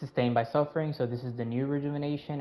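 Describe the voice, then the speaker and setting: A man speaks very fast in a dark, mellow tone with monotone, flat intonation. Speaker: gaming video creator. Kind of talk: gameplay tutorial. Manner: casual, with many fillers.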